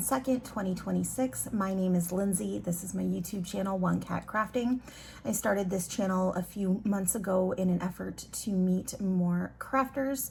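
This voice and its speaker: A woman talks at a moderate pace with hardly any pauses. Her pitch is medium, with ordinary variation. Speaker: crafting vlogger. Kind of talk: casual vlog chat. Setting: at home. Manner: loud; casual, many fillers.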